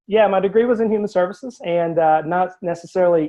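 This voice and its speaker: A man talks with a Southern US accent and fairly even intonation. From US South. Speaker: life coach. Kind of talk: interview. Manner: hesitant with many fillers.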